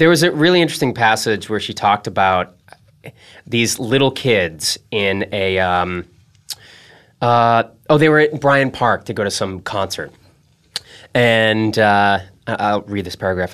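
With lively intonation and long, frequent pauses, a man talks at a fairly low pitch. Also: fairly slow pace. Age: 30s. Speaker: podcast host. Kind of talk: casual chat.

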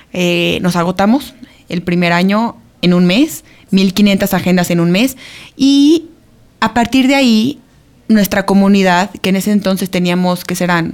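Medium pitch from a woman, with ordinary pitch variation, a fairly slow pace and long, frequent pauses. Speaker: podcast co-host and entrepreneur. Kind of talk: casual chat.

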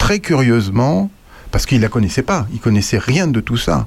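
A man talks at a medium pitch. His voice swings very widely up and down in pitch. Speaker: radio columnist. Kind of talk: casual chat.

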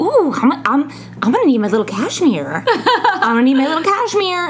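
Over clear background noise, a female-sounding, high-pitched put-on character voice speaks at a moderate pace. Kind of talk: affected, posh. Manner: screaming, escalating.

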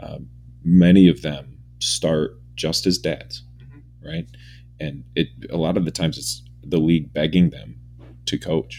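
A man with a very deep, low pitch and a dark, mellow tone speaks at a fairly slow pace with vocal fry, ordinary pitch variation and big swings in loudness. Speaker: radio announcer and business owner. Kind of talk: casual chat.

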